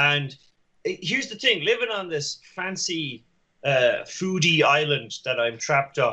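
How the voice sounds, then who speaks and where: Speaking in an Irish accent, a man keeps a moderate pace. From Ireland. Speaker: podcast guest. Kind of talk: casual chat.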